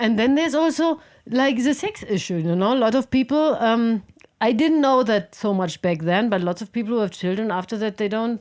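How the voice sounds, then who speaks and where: At a fairly quick pace, a woman speaks with lively intonation and a fairly high pitch. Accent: German. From Germany, Berlin. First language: German. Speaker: podcast guest, software consultant and climber. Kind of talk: casual chat.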